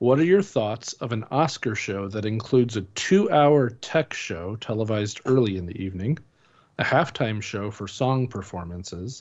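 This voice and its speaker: An ordinary speaking voice from a man, medium in pitch, with ordinary pitch variation and a moderate pace. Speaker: film critic and site editor. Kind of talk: casual chat. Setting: video call.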